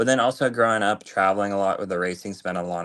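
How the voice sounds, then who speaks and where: A man with a fairly low pitch talks at a very fast pace with fairly even intonation. The recording is very clean, with a silent background. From Canada, big city. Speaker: race car driver. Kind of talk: casual interview chat.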